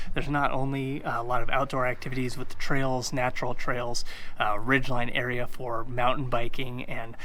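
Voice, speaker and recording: Audible room echo surrounds this voice. A man speaks at a moderate pace. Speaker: realtor. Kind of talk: video tour / real estate presentation. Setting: outdoors on location. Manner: energetic, casual.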